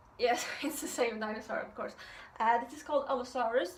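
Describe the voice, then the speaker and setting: With a Swedish accent, a woman talks at a fairly quick pace in a high voice, with audible room echo around her. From Sweden. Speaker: art youtuber. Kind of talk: tutorial intro. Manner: hesitant, many fillers.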